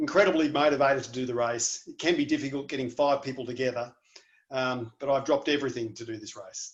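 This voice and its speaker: The accent is Australian and the pace is very fast. Loudness swings widely while the intonation stays fairly even. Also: man, fairly high pitch for a man. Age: 40s. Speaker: adventure race team captain. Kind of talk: team introduction video.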